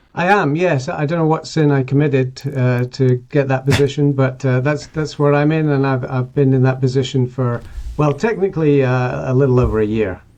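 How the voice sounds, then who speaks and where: A man with a fairly high pitch talks at a moderate pace with hardly any pauses. His pitch variation is ordinary and his loudness very even. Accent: slight Scottish. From southern England, then Scotland from early teens. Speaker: professor, academic dean. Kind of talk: casual interview chat.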